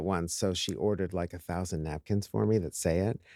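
Recorded dry and close with no echo, in a very clean recording with a silent background, a man with an American accent talks at a fairly quick pace. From upstate New York. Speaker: real estate executive. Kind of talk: casual interview chat.

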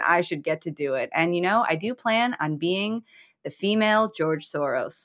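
On a very clean recording with a silent background, a woman speaks in an American accent. Hers is an unremarkable speaking voice with lively intonation. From Chicago. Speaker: podcast co-host, comedy writer. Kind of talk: casual chat.

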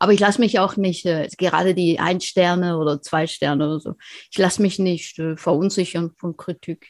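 A woman speaks at a fairly low pitch and a moderate pace with fairly even intonation. The recording is very clean, with a silent background and a dry, close sound with no echo. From eastern Switzerland. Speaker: author. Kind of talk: interview.

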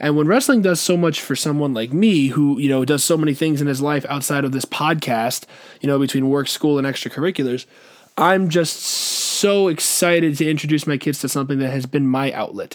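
Here a man sounds enthusiastic at a fairly quick pace. His pitch sits fairly high, with ordinary variation. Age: 20s. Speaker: wrestling podcast host. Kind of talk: solo podcast monologue.

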